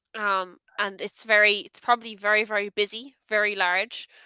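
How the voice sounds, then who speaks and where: A woman's medium-pitched voice with an Irish accent, a bright, sharp tone and monotone, flat intonation, at a moderate pace, with big swings in loudness and a dry, close sound with no echo. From Ireland, Dublin area. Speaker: online English tutor. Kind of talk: casual conversation lesson.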